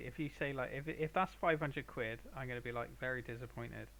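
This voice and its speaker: A man talks at a very fast pace. He has a Bristolian accent. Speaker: painter streaming live. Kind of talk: casual chat with live stream viewers. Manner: halting. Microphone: viewers suggest a better mic.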